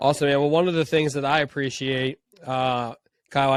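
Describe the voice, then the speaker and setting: Recorded with a dry, close sound and no echo, a man talks at a fairly quick pace in a fairly high voice with monotone, flat intonation. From Pennsylvania. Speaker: podcast host. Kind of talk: podcast interview. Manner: casual.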